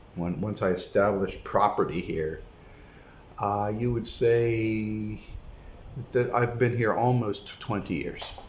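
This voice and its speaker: A man with an American accent talks at a very slow pace with long, frequent pauses, at a medium pitch with fairly even intonation. Audible room echo surrounds his voice. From United States. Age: 60s. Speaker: retired expat video blogger. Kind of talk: casual monologue vlog. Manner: halting, many fillers.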